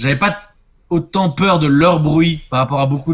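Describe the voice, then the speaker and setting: Using ordinary pitch variation, a man talks at a fairly quick pace. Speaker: radio morning show host. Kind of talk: casual chat. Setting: video call. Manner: loud.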